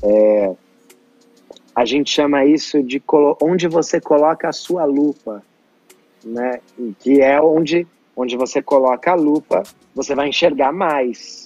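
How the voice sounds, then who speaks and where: A man speaking at a fairly slow pace with long, frequent pauses, ordinary pitch variation, music in the background, and a dry, close sound with no echo. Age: 30s. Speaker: personal development coach and show host. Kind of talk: interview conversation.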